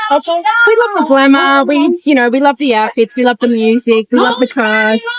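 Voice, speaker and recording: A woman with an American accent speaks at a fairly quick pace, her high pitch showing ordinary variation. The sound is dry and close with no echo. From Arizona, US. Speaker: pin-up enthusiast. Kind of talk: casual interview.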